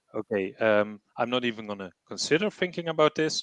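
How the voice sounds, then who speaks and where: With a non-native accent, a man speaks at a fairly quick pace with ordinary pitch variation, in a dry, close sound with no echo and a quiet background. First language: not English. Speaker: treasury professional, panelist. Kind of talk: webinar panel discussion.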